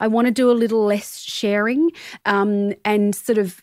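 Someone with an Australian accent is heard in a dry, close recording with no echo, very clean and against a silent background. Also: woman. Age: 40s. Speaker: body image activist and filmmaker. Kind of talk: interview conversation.

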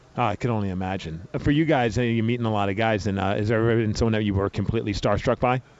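A man speaks with a New York accent. His pace is very fast and his pitch fairly low. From New York (Brooklyn). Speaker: podcast host. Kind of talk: casual interview. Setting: radio row at event. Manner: animated.

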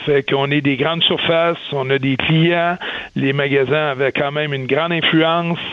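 A man speaks in a fairly high pitch with monotone, flat intonation. There is noticeable background noise. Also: moderate pace. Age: 50s. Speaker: business executive. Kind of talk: radio interview.

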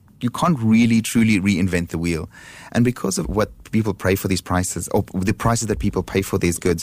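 In a very clean recording with a silent background, a man talks at a fairly quick pace in a fairly low pitch, with ordinary pitch variation and very even loudness. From South Africa. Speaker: handbag designer. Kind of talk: radio interview. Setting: studio.

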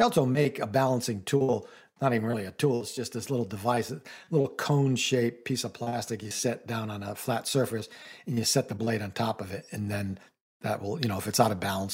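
A man's somewhat breathy, medium-pitched voice at a fairly quick pace, with ordinary pitch variation. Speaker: radio co-host, home improvement. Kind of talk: casual radio chat and tips.

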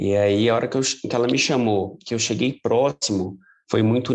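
A man in a plain, everyday voice talks at a moderate pace, his pitch fairly low with ordinary variation. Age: 30s. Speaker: police clerk and amateur runner. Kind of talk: interview.

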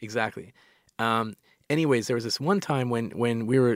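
A man's medium-pitched voice at a fairly quick pace, with ordinary pitch variation, in a dry, close sound with no echo and a very clean recording over a silent background. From Canada. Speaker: tech entrepreneur. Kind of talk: casual interview chat. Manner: halting, filler-heavy.

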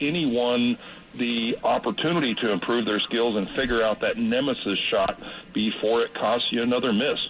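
Noticeable background noise is present throughout. A man speaks at a moderate pace. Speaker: shooting instructor. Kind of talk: casual radio chat. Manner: joking.

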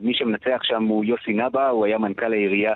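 A man's plain, everyday voice, medium in pitch and at a fairly quick pace. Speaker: radio news correspondent. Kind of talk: live news report. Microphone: choppy line.

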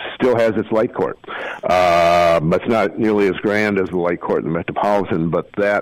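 Noticeable background noise surrounds a man with an Upper Midwest accent who speaks at a fairly low pitch and a moderate pace. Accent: Upper Midwest American. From Minneapolis, Minnesota. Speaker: author and architecture journalist. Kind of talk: casual interview.

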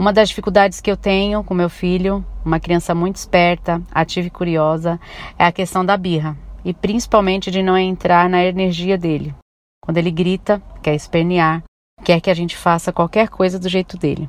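Her voice sits fairly low for a woman, and her intonation stays monotone and flat. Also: moderate pace. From São Paulo, Brazil. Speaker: teacher. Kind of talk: testimony.

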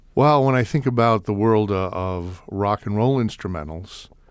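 A man with an American accent and an unremarkable speaking voice talks at a fairly slow pace, his fairly low pitch showing ordinary variation against a quiet background. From New York City. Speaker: radio DJ. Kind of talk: casual chat.

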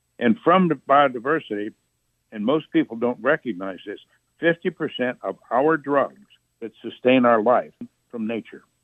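A man with an American accent speaks fairly slowly in a plain, everyday voice, medium in pitch, with lively intonation and big swings in loudness. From US Midwest, northern Indiana. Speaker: author and attorney. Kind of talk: interview.

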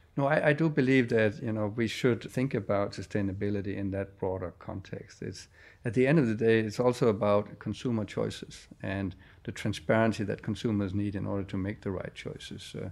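Speaking at a fairly quick pace, a man has a Danish accent and a fairly low pitch. His pitch varies in an ordinary way. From Denmark. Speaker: company chairman. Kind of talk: interview. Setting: company headquarters office.

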